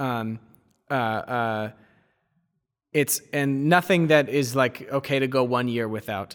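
In a very clean recording with a silent background, a man with an American accent speaks very slowly, taking long, frequent pauses. His pitch is medium with ordinary variation. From US Northeast, near Boston. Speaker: recent graduate on fellowship in Georgia. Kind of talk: casual interview conversation.

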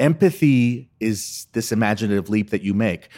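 On a very clean recording with a silent background, a man with an unremarkable speaking voice talks at medium pitch with lively intonation. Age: 60. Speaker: comedic monologist and filmmaker. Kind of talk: interview. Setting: conference.

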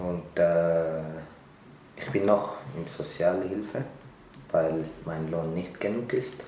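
A man with an Eritrean accent speaks at a very deep, low pitch, very slowly, with long, frequent pauses. His pitch varies in an ordinary way, and the room echo is audible. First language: Tigrinya (speaking German). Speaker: refugee, restaurant worker. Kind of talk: interview.

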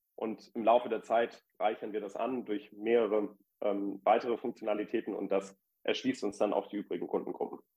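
A man's medium-pitched voice at a moderate pace, in monotone, flat intonation. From Hamburg, northern Germany. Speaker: startup founder and lawyer. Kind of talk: interview. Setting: remote call into live podcast audience. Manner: frequent fillers (äh, ähm).

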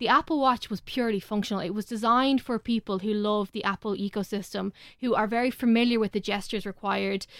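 Over a silent background in a very clean recording, a woman with an Irish accent talks at a very fast pace with hardly any pauses, her voice fairly high in pitch and fairly even in intonation, the sound dry and close with no echo. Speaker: tech correspondent. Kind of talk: casual panel chat. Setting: studio.

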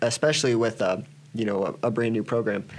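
At a fairly quick pace, a man with a medium pitch speaks in a normal speaking voice with fairly even intonation. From Iowa, US Midwest. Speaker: college wrestling coach. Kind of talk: interview.

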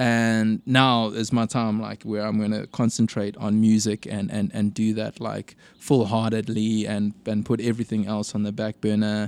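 A man speaks at a fairly low pitch, in a monotone, flat delivery at a moderate pace, with hardly any pauses. The recording is very clean with a silent background, and the sound is dry and close with no echo. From South Africa, Durban. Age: 30s. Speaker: singer-songwriter. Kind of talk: casual chat.

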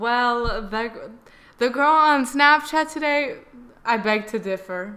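Very slow in pace, the voice has a bright, sharp tone and ordinary pitch variation. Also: woman, high pitch for a woman. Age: young. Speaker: podcast co-host. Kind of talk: casual chat.

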